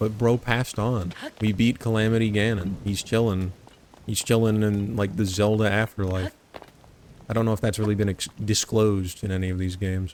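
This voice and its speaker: A man's fairly low, flat monotone at a fairly quick pace. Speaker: gaming video creator. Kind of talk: gameplay commentary. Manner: casual rambling.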